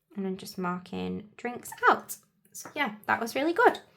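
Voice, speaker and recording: A medium-pitched woman's voice with an English accent. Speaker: planner vlogger. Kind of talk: casual tutorial chat. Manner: hesitant, lots of fillers.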